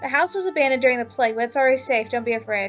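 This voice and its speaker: With faint music in the background, a woman does a squeaky, high-pitched put-on character voice at a very fast pace. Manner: reassuring.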